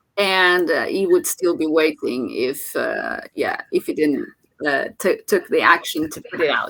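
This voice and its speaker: A woman with a Portuguese accent talks at a fairly slow pace. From Portugal. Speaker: motivational channel host. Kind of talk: casual chat. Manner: halting, many fillers.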